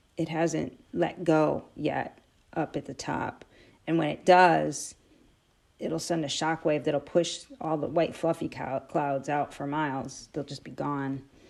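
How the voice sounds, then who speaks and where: The speaker delivers words at a very slow pace with fairly even intonation and vocal fry. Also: woman, very deep, low pitch for a woman. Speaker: amateur science video maker. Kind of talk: casual monologue to camera. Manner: halting, many fillers.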